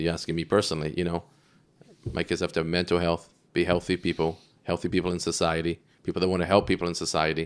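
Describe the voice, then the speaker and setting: Speaking at a very fast pace with an American accent, a man with a very deep, low pitch keeps a monotone, flat intonation in a very clean recording with a silent background. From Scotland. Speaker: real estate developer. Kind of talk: casual interview.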